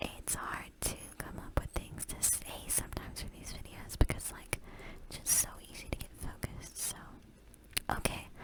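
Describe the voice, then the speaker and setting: Someone whispers at a moderate pace, with long, frequent pauses. Noticeable background noise runs underneath. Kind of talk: ASMR whispered relaxation video, casual talk to viewers. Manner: whispered, soft, relaxing.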